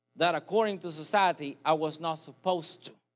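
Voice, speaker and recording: A man with a non-native accent, a high pitch, ordinary pitch variation and a moderate pace. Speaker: preacher. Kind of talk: sermon. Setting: church with congregation.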